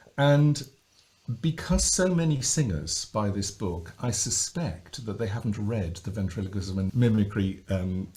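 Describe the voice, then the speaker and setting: At a fairly slow pace, a man speaks in a fairly low, somewhat breathy voice with a dark, mellow tone. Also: lively intonation. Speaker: voice coach. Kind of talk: podcast conversation.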